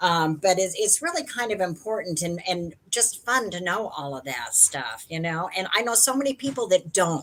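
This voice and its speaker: A woman at a moderate pace with hardly any pauses and very wide pitch swings, against noticeable background noise. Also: medium pitch for a woman. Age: 60s. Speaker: live stream participant. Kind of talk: casual chat.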